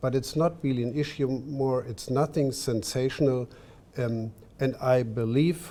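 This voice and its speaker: A man with a German accent speaks at a medium pitch with ordinary pitch variation. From Germany. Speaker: diplomat. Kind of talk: panel discussion. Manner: halting.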